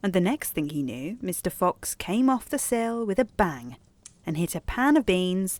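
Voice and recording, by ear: The reading is done aloud in a natural voice, and the intonation is lively.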